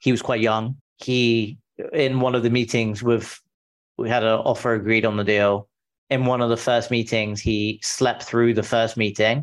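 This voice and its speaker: Against a quiet background, a man with a British accent talks at a medium pitch and a moderate pace. His intonation is monotone and flat, his loudness very even. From England. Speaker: founder of a business brokerage firm. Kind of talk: interview. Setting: video call.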